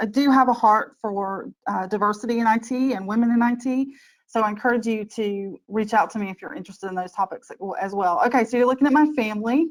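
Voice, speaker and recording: A woman speaks with a Southern US accent. Her fairly high pitch has ordinary variation. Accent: Southern US drawl. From US South. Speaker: IT change manager. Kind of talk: webinar presentation. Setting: online webinar.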